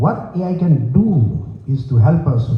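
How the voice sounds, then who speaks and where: Over noticeable background noise, a man with an Indian accent speaks at a fairly high pitch with ordinary pitch variation. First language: Gujarati. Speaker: panelist, stamp collector and exhibitor. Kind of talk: panel discussion presentation.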